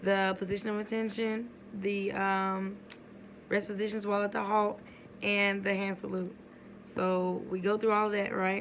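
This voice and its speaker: In a room with audible echo, a woman speaks in a flat, monotone way. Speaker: army sergeant at drill sergeant school. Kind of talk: casual vlog.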